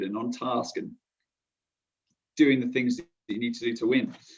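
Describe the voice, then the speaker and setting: In a southern English accent, a man talks at a fairly quick pace. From southern England, Portsmouth. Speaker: korfball player-coach. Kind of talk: podcast interview. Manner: hesitant, many fillers and restarts.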